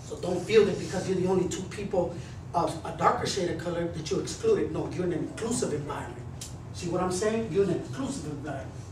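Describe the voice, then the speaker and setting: With an American accent, a man speaks at a very fast pace in a high voice, with audible room echo and noticeable background noise. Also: ordinary pitch variation. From Texas. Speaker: motivational speaker and former gang member. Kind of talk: motivational talk to students. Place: classroom. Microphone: camera far.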